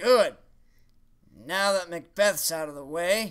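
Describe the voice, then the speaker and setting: In a cartoonish character voice pitched high for a man, he talks at a fairly slow pace. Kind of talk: comedy puppet sketch. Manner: indignant, theatrical.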